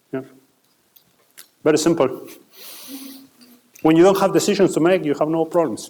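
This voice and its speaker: With an Argentine accent, the speaker moves at a fairly quick pace with ordinary pitch variation, broken by long, frequent pauses. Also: man, high pitch for a man. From Argentina. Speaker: finance executive. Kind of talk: Q&A talk with students. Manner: halting with repetitions.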